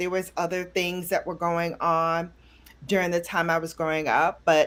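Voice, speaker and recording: In a New York accent, a woman speaks at a medium pitch and a fairly slow pace. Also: very clean recording, silent background. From Brooklyn, New York. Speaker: beauty YouTuber. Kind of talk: casual interview. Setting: live stream.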